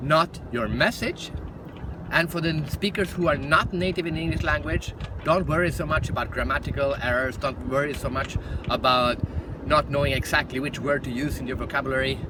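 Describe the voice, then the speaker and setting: A man with a Swedish accent talks at a fairly quick pace and a fairly high pitch, his pitch variation ordinary. Noticeable background noise sits behind him. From Sweden. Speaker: professional speaker. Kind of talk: direct-to-camera talk.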